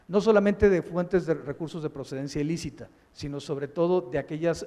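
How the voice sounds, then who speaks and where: Over noticeable background noise, a man speaks at a fairly quick pace. His pitch is fairly high. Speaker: public prosecutor. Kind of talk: keynote lecture. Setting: conference with audience. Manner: monotone; halting.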